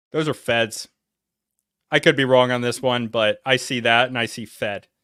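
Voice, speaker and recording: A man with a New England accent speaks at a moderate pace and medium pitch, his intonation fairly even. His tone is bright and sharp, on a very clean recording with a silent background. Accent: preppy New England. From Connecticut and North Carolina. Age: 40s. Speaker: reaction streamer. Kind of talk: reaction livestream commentary. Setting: livestream.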